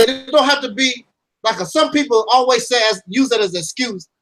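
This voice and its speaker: An animated man speaks at an extremely high pitch. His voice is loud. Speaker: YouTube commentator. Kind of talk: casual chat.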